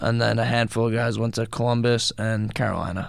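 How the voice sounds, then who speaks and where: A man's medium-pitched voice at a moderate pace. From Rockaway, Queens, New York. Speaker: professional hockey player. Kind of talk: radio interview. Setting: radio studio.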